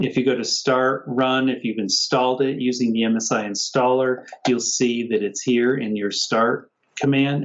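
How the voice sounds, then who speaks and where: This man has an unremarkable speaking voice at a medium pitch. He talks at a moderate pace. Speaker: software engineer giving a workshop walkthrough. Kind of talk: tutorial. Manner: casual, conversational.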